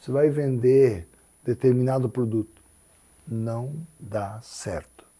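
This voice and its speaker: The man's tone is dark and mellow, somewhat breathy, and his pace very slow. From Paraná interior, Brazil. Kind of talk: interview conversation.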